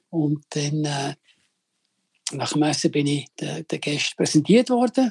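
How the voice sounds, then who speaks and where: A man's fairly high, somewhat breathy voice, with lively intonation, a fairly slow pace and long, frequent pauses. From Switzerland. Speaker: chef. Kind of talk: phone interview.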